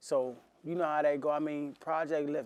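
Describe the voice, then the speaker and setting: A man with a New Orleans accent speaks with fairly even intonation. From Washington, D.C. (Southeast). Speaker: rapper. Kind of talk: interview. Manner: casual, slangy.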